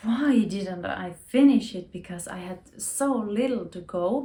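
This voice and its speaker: Very slowly, a woman speaks in a dark, mellow, somewhat breathy voice with lively intonation. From Finland. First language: Finnish. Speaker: knitting youtuber. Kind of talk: casual chat. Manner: halting.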